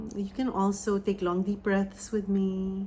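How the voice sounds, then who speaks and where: A woman speaks with a Filipino accent. Her pitch is medium. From Philippines. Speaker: spiritual medium. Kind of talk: oracle reading and channeling; guided meditation. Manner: hesitant with fillers.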